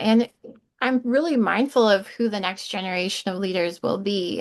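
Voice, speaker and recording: Ordinary pitch variation and a moderate pace from an unremarkable speaking voice. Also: woman. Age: 30s. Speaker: regional church executive. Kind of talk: interview conversation.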